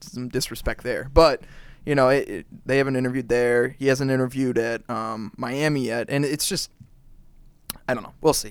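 Speaking at a fairly quick pace, a man uses a plain, everyday voice at medium pitch. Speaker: podcast co-host. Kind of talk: casual chat. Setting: studio.

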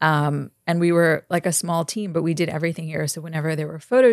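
Her pitch fairly low, a woman talks at a very fast pace. The recording is very clean, with a silent background. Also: dry, close sound with no echo. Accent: New York. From Brooklyn, New York. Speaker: fashion publicist and harm reduction activist. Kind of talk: casual chat.

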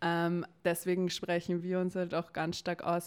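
A woman uses a plain, everyday voice, fairly low in pitch, at a moderate pace. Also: very clean recording, silent background. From Austria, Vienna. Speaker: climate campaign spokesperson. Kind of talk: interview.

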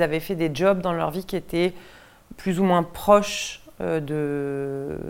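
This woman has a fairly low pitch. Her pitch variation is ordinary. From western France, Deux-Sèvres. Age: 30s. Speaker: theatre director. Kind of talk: interview. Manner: hesitant, many fillers.

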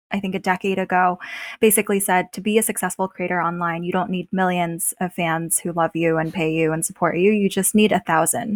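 At a fairly quick pace, a woman with a medium pitch and fairly even intonation speaks in a dry, close sound with no echo. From Beijing, China, then Pittsburgh US. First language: Chinese. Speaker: venture capital investor and writer. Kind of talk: casual podcast interview.

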